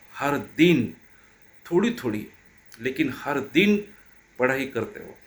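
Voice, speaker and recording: A man with a Marathi accent speaks in a fairly high voice. His pitch swings very widely, and he leaves long, frequent pauses. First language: Marathi (speaking Hindi). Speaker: teacher. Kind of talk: motivational talk.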